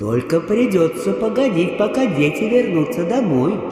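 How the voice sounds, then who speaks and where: A man's put-on character voice, high-pitched, at a moderate pace, under strong echo. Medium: read story. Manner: calm, motherly.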